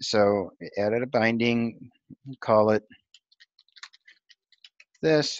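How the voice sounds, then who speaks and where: A man speaks at a medium pitch with fairly even intonation. The sound is dry and close with no echo, against a quiet background. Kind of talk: screen-recorded technical tutorial demo. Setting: screen recording with narration. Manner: monotone, flat.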